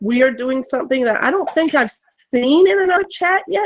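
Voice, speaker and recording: In an American accent, a woman talks at a fairly quick pace in a high voice with very wide pitch swings. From Florida, US South. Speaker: educator, online chat moderator. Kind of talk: casual chat.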